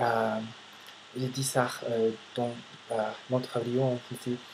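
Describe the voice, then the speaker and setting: The speech comes at a very slow pace in a monotone, flat intonation over noticeable background noise. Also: man. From United States. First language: English (speaking French). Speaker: vlogger, language learner. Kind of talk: casual vlog monologue. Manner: halting, many hesitations.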